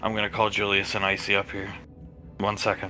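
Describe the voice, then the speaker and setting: A man puts on a raspy character voice, fairly low in pitch, speaking at a fairly quick pace in a monotone, flat way. Clear background noise runs behind him. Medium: actual play.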